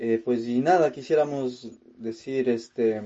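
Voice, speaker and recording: He is a man speaking at a medium pitch. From Ecuador (Cuenca). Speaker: metal guitarist. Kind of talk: interview. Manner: halting, many repetitions and fillers.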